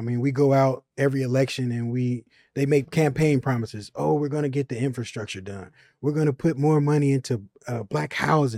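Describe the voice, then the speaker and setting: Dark and mellow in tone, a man with an American accent talks at a fairly quick pace with a medium pitch and ordinary pitch variation. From Chicago, US Midwest. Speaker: truck driver. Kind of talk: panel discussion.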